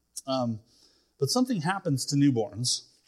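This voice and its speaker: This is a man with a medium-pitched voice. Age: 40s. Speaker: pastor. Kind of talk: sermon. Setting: church. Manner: halting.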